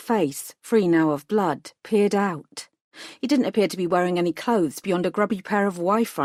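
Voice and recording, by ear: The background is quiet. A speaker is reading aloud in a natural voice, with ordinary pitch variation.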